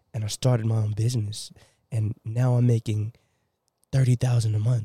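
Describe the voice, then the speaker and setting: A man speaks at a moderate pace with medium pitch, a dark, mellow tone and a somewhat breathy quality. His intonation is fairly even, and the sound is dry and close with no echo. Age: young. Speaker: podcast guest. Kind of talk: casual chat.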